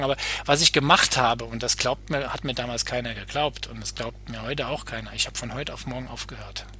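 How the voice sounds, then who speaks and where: A man at a fairly quick pace, over noticeable background noise. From Hesse, Germany (Bad Nauheim). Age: 50s. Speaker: sports psychologist. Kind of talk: casual interview.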